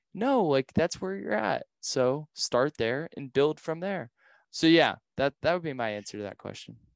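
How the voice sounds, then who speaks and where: Lively intonation at a moderate pace, with a dry, close sound, no echo, and a quiet background. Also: man, fairly high pitch for a man. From Ohio, US Midwest. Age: 20s. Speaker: ultra-endurance athlete and entrepreneur. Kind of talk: casual interview.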